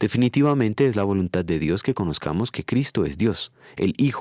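With an ordinary speaking voice, a man talks at a moderate pace with lively intonation, the sound dry and close with no echo. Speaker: preacher. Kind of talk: devotional sermon ending in a prayer. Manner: solemn, earnest, formal; measured, reverent, pastoral.

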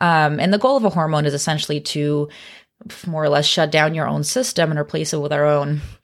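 A woman with an American accent and a very deep, low pitch talks very fast with ordinary pitch variation, in a very clean recording over a silent background. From US Pacific Northwest. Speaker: OB-GYN doctor. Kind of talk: casual educational chat. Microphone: very close to the microphone.

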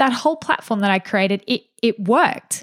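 Upbeat in tone, a woman with an Australian accent speaks at a fairly high pitch, her sound dry and close with no echo. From Australia, regional New South Wales. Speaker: podcast host, small business coach and photographer. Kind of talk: solo podcast monologue.

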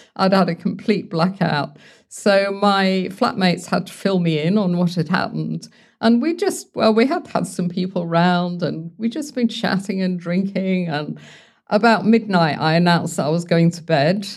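A woman with a London accent speaks at medium pitch and a moderate pace, with ordinary pitch variation. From London, England. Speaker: founder of a sobriety support community. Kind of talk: interview.

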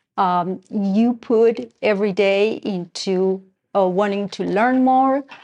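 Speaking at a very slow pace with a slight Argentine accent, a woman keeps a medium pitch with ordinary pitch variation. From Argentina. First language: Spanish. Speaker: school parent and board member. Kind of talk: interview. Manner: halting, many fillers.

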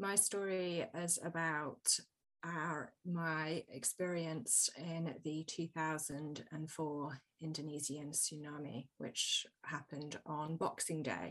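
A woman with an English Midlands accent, fairly low in pitch, speaking very slowly against a quiet background. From England, Birmingham. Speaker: storytelling coach and author. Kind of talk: interview conversation.

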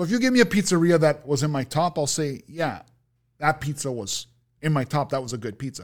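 With a Toronto accent, the speaker uses lively intonation at a fairly quick pace on a very clean recording with a silent background. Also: man, fairly high pitch for a man. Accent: Canadian (Toronto) English. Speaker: food reviewer on social media. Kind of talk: casual interview chat. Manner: animated, rambling storytelling.

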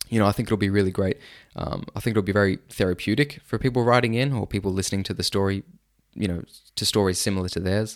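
A man's fairly low voice in an Australian accent, animated in tone and very fast in pace, on a very clean recording with a silent background. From Sydney, Australia. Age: 30s. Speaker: podcast host. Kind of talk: casual monologue. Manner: animated, laughs often.

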